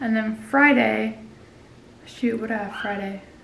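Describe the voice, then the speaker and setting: With audible room echo around her, a woman speaks in a flat monotone. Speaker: fitness competitor vlogger. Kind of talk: casual vlog chat. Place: home room. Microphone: phone near.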